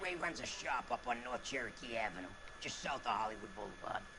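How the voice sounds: Over noticeable background noise, a man puts on a raspy character voice at a medium pitch. He talks at a very fast pace.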